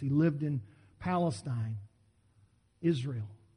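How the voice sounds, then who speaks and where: A man speaks in a dark, mellow tone with very wide pitch swings. Room echo is audible. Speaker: pastor. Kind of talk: sermon. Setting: church. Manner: fast.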